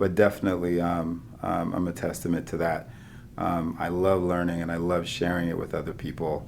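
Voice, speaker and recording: This man's voice is very deep and low, delivered in a flat monotone at a moderate pace. Audible echo from the room surrounds him. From Nigeria, raised in US. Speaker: physician, chief medical officer. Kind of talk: casual interview chat.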